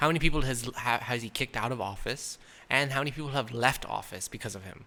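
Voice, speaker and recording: A man with an American accent, fairly quick pace, animated delivery and a bright, sharp tone. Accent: changed, less American after years in India. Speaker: podcast co-host. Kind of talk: casual chat.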